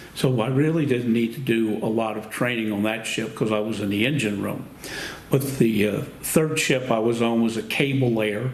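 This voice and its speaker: With an American accent, a man talks at a moderate pace in a medium pitch with fairly even intonation, over noticeable background noise and audible room echo. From Texas, Houston (Gulf Coast). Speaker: war veteran. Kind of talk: oral history interview.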